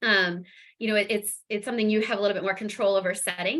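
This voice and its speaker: The tone is bright and sharp, and the intonation stays monotone and flat. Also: woman. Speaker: fundraising presenter. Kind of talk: webinar presentation. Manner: fast.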